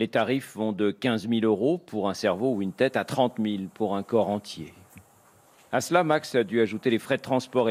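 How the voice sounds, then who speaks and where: A man talks in an ordinary speaking voice at a medium pitch. His pitch varies in the usual way, and his pace is moderate. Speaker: foreign correspondent. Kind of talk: scripted narration.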